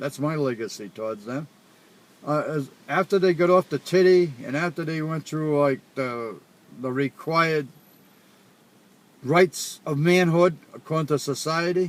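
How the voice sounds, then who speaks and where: A man with a Rhode Island accent speaks at a fairly slow pace in a fairly high pitch, with ordinary pitch variation and long, frequent pauses. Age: old. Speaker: father. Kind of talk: casual chat.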